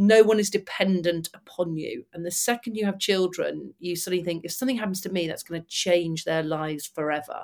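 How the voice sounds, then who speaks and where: This woman has a fairly low pitch and ordinary pitch variation, speaking with a Mancunian accent. Her pace is fairly quick, with hardly any pauses. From Manchester, northern England. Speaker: former fighter pilot and motivational speaker. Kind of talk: interview.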